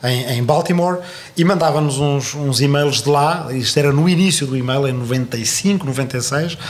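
Through audible room echo and noticeable background noise, the voice proceeds at a fairly slow pace with ordinary pitch variation. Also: man, fairly high pitch for a man. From southern Portugal. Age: 40s. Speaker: historian and political commentator. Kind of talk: interview. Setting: studio. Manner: halting.

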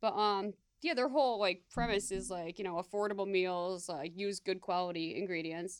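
A woman with an American accent and an ordinary speaking voice talks at a moderate pace, at medium pitch with ordinary pitch variation. The recording is very clean with a silent background. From upstate New York (Syracuse, Buffalo). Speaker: podcast co-host. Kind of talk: casual chat. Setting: studio.

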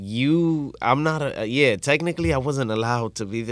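The recording is very clean with a silent background, and a man with an unremarkable speaking voice talks at a medium pitch and moderate pace with lively intonation. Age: 30s. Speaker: merengue musician. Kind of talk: casual interview.

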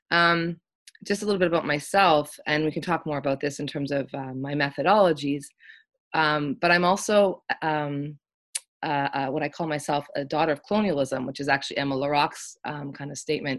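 A woman with a Canadian accent speaks at a moderate pace in a very deep, low voice with ordinary pitch variation, on a very clean recording with a silent background. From Canada, West Coast (Richmond, near Vancouver). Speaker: art history professor. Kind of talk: interview conversation.

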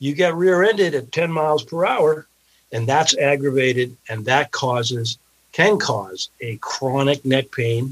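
In an ordinary speaking voice, someone talks at a fairly slow pace with lively intonation. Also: man, fairly high pitch for a man. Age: 60s. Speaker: personal injury lawyer. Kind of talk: interview.

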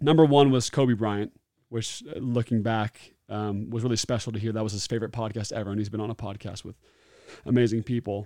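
A man with an American accent and an unremarkable speaking voice talks at a fairly quick pace, his medium pitch held to fairly even intonation. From Oregon, US Pacific Northwest. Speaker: former NFL player and entrepreneur. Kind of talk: casual interview.

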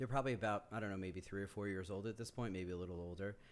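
A man with a normal speaking voice, an American accent and fairly low pitch. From Yonkers, New York. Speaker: community organizer. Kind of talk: casual chat.

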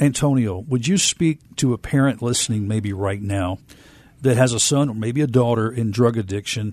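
Against a quiet background, a man talks in an unremarkable speaking voice with ordinary pitch variation. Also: medium pitch for a man, moderate pace. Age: 50s. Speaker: TV talk show host. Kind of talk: interview. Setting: studio.

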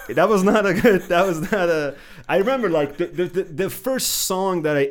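A man speaks at a moderate pace in an Iranian accent, his intonation lively. The recording is very clean, with a silent background. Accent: Iranian (Persian). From Iran, Khuzestan (Ahvaz). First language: Persian (Farsi). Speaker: filmmaker and PhD student. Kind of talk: casual interview.

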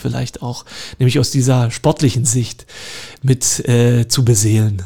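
This man's medium-pitched voice comes out somewhat breathy, moving along at a moderate pace. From Lusatia, eastern Saxony (Görlitz, Horka). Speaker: park director and garden historian. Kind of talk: radio interview. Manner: hesitant, many fillers.

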